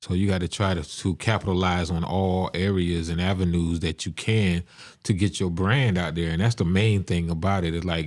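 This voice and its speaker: In a South Carolina accent, a man speaks at a moderate pace with a very deep, low pitch and fairly even intonation on a very clean recording with a silent background. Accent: Southern US, South Carolina. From South Carolina, rural Lowcountry (Estill). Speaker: music studio owner and entrepreneur. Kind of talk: podcast interview.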